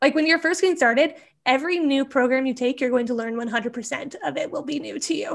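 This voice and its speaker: A woman with an American accent talks at a fairly quick pace against a quiet background. Her pitch is high, with ordinary pitch variation. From US Midwest, small-town Nebraska. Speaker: email marketing strategist; interview guest. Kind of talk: interview. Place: home room. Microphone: earbuds.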